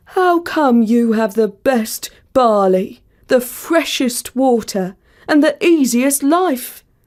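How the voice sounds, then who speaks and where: A woman uses a put-on character voice, high in pitch and at a fairly slow pace. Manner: complaining.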